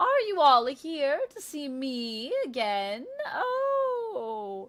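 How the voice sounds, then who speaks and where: A put-on character voice with high pitch moves at a very slow pace. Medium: actual play. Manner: imperious, petulant.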